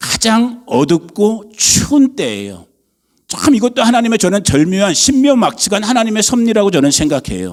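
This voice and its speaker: A man's high-pitched voice, animated in tone, with lively intonation. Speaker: pastor. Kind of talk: sermon. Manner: conversational, animated.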